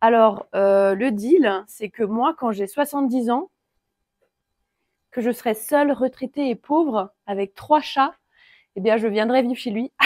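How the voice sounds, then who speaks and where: A woman talks at a very slow pace in a relaxed tone, with long, frequent pauses and a dry, close sound with no echo. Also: fairly high pitch for a woman, ordinary pitch variation. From France, Alsatian Vosges. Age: 30s. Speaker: carpenter. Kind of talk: casual walkthrough tour. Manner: relaxed, hesitant with fillers.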